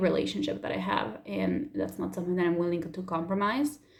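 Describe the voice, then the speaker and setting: A woman with a fairly low pitch speaks with vocal fry. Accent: Spanish. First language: Spanish. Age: 20s. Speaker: YouTuber. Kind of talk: personal vlog.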